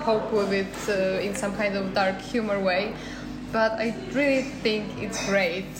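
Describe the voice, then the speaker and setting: Audible room echo and noticeable background noise surround a woman's voice. She talks at a fairly slow pace with monotone, flat intonation. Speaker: podcast co-host, university student. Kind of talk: casual chat. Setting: cafe.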